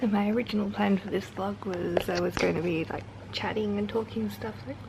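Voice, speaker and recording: A quiet woman's voice at a fairly quick pace, with noticeable background noise. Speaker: travel vlogger. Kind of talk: casual chat.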